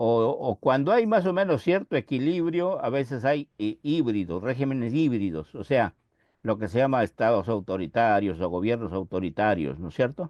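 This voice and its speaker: A man's medium-pitched voice swings very widely in pitch while holding a moderate pace. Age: 80s+. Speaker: professor. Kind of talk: lecture. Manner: halting, with frequent self-corrections.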